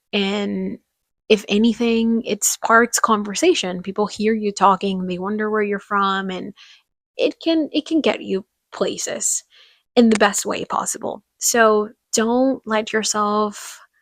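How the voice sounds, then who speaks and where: A woman's fairly high voice at a fairly slow pace, with ordinary pitch variation and a dry, close sound with no echo. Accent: Spanish. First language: Spanish. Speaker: podcaster. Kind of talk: casual monologue.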